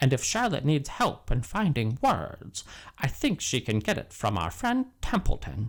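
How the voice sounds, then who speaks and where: On a very clean recording with a silent background, a man does a put-on character voice at a fairly high pitch. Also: moderate pace. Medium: read story.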